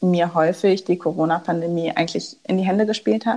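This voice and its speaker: A woman with an unremarkable speaking voice talks at a moderate pace in a medium pitch, with ordinary pitch variation. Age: 20s. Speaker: startup founder. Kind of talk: interview.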